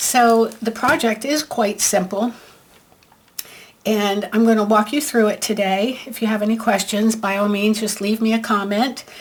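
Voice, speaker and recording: Noticeable background noise sits behind a woman speaking at a fairly high pitch. Her pace is fairly slow and her intonation fairly even. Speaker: paper craft demonstrator. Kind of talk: tutorial. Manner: casual, hesitant with fillers.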